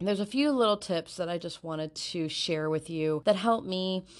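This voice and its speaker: With an American accent, a woman speaks at a moderate pace and a fairly low pitch. Her pitch variation is ordinary, and the background is quiet. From US Midwest, Northwest Indiana. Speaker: podcast host. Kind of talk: casual monologue. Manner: chatty, laughing often.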